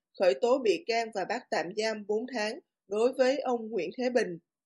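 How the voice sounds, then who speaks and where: A plain, everyday voice from a woman, fairly high in pitch, with lively intonation, a fairly slow pace and a quiet background. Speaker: news reader. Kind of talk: news reading.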